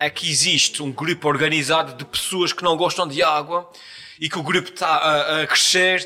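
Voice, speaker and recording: A man speaks with a strong Azorean accent. Music plays in the background. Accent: strong São Miguel Azorean. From Azores, São Miguel island. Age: 40s. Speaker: YouTuber and comedian. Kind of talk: casual interview chat. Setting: recorded in a shop.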